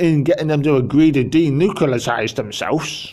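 Recorded very cleanly against a silent background, a man with an English accent speaks at a moderate pace in a dark, mellow tone. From England. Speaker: political commentator. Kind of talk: political monologue. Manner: animated.

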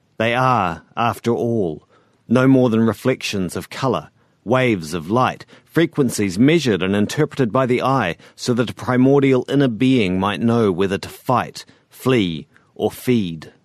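With a New Zealand accent, a man talks at a fairly slow pace and medium pitch with lively intonation, in a dry, close sound with no echo. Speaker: fiction author narrating his own story. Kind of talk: first-person literary sci-fi narration, brooding confessional monologue. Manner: measured, deliberate, darkly introspective.

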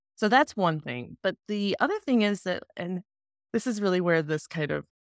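A woman's plain, everyday voice, fairly low in pitch, with an American accent at a moderate pace, dry and close with no echo, on a very clean recording with a silent background. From US South. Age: 40s. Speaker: podcast guest. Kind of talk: interview.

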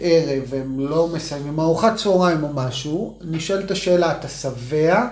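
A man talks at a fairly slow pace and a fairly high pitch, with ordinary pitch variation. Noticeable background noise and audible room echo fill the recording. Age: 40s. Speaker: parenting podcast co-host, former athlete. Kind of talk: casual chat.

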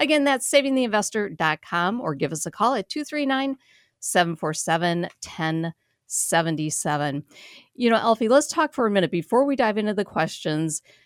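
Her pitch medium but swinging very widely, a woman talks at a moderate pace in a dry, close, very clean recording with no echo and a silent background. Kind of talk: radio host patter.

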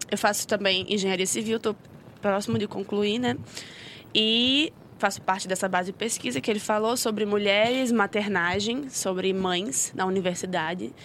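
Moderate pace and ordinary pitch variation from a woman speaking. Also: medium pitch for a woman. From Rio de Janeiro, Brazil. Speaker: social sciences student and civil engineer. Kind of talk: casual podcast conversation.

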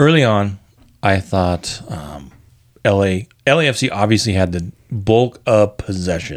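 A man talks in a normal speaking voice at a fairly slow pace. His intonation is lively. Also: fairly low pitch for a man. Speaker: podcast host. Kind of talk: casual chat about a soccer match.

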